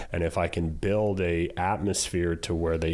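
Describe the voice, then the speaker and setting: The man's voice is very deep and low. He speaks in a monotone with flat intonation. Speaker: ring announcer. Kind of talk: podcast interview answer. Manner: casual, conversational.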